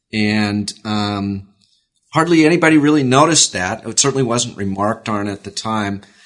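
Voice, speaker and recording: With an American accent, a man talks at a moderate pace and a fairly low pitch, with lively intonation, in an ordinary speaking voice. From US West Coast, Oakland, California. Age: 50s. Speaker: author and political journalist. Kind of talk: interview. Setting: in an office.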